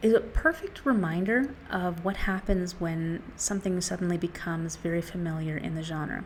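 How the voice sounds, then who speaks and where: A woman speaks at a moderate pace and fairly low pitch with ordinary pitch variation, leaving hardly any pauses over noticeable background noise. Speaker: book reviewer. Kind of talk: casual talk to camera. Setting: outdoors.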